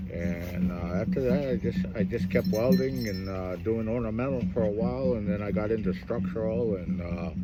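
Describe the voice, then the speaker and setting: A man speaks at a moderate pace with a very deep, low pitch. Noticeable background noise and audible room echo are present. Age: 60s. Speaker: iron worker and fancy dance champion. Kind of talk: interview. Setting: outdoors at a powwow. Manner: halting, many fillers.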